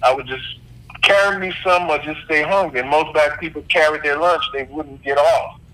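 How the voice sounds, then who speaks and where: A man speaks at a moderate pace with fairly even intonation and a fairly high pitch. Noticeable background noise runs underneath. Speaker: former executive chef and entrepreneur. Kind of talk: interview answer.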